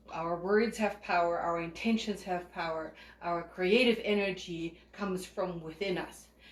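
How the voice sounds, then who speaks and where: Speaking at a fairly slow pace, a woman with a fairly low pitch keeps her intonation fairly even, and audible room echo surrounds her voice. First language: not English. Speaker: spiritual group leader and psychic reader. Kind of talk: spiritual teaching talk.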